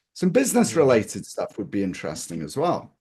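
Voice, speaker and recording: With an English accent, a man is speaking. He keeps a moderate pace. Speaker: capital-raising expert. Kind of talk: casual chat. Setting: webinar video call.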